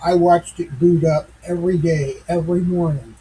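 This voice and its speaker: This man's pitch is fairly high, and he speaks at a fairly slow pace. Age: 60s. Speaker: tech commentator / channel owner. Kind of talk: casual monologue. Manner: halting, many fillers; unpolished.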